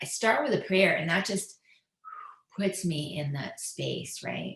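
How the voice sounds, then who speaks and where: With a plain, everyday voice, a woman speaks at a fairly slow pace, medium pitch and lively intonation. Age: 60s. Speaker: author and lifestyle expert. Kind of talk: interview.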